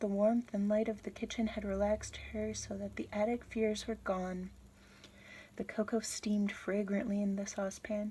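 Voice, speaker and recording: Her medium-pitched voice is somewhat breathy, with a dark, mellow tone. The woman keeps a moderate pace in a monotone, flat delivery. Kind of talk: audiobook-style reading of a novel chapter. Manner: whispered.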